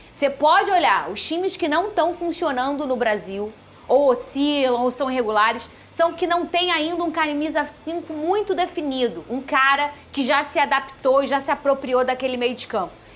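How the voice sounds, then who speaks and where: Noticeable background noise runs under a woman's high-pitched voice. She talks at a moderate pace with lively intonation. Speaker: sports show host. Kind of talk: studio panel discussion. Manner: soft-spoken.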